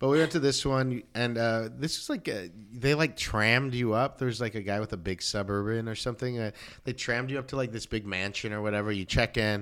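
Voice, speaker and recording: A man with a Southern Californian accent speaks at a fairly quick pace in a medium pitch with ordinary pitch variation, on a very clean recording with a silent background. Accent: Southern California American. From Los Angeles area, West Covina. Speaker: comedian and former youth pastor. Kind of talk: casual interview. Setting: home studio.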